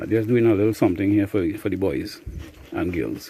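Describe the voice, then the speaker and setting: The speaker talks fairly slowly in a Trinidadian accent. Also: man. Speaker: beekeeper. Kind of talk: casual vlog narration. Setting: outdoors. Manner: casual, hesitant with fillers.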